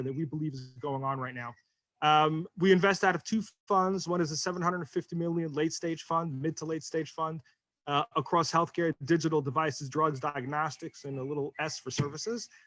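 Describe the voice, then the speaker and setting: An ordinary speaking voice goes at a fairly quick pace with ordinary pitch variation. The sound is dry and close, with no echo. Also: man. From New York. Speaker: venture capital investor. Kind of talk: panel discussion.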